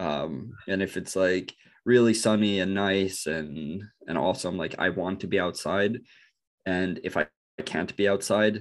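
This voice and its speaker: A man speaks with a very deep, low pitch and vocal fry. His pitch varies in an ordinary way, and he takes long, frequent pauses. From northern Norway. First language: Norwegian. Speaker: bitcoin researcher. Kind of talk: interview. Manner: halting, many fillers and repetitions.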